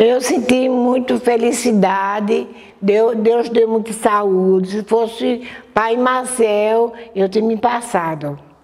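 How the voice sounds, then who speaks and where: Over noticeable background noise, a woman with fairly high pitch speaks at a very slow pace with ordinary pitch variation. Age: 70s. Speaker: religious community elder. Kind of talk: testimony.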